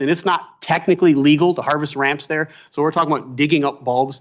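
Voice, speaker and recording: In an American accent, a man delivers his words at a fairly quick pace. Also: quiet background. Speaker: foraging instructor. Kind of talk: public testimony at a government task force meeting. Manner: loud; animated.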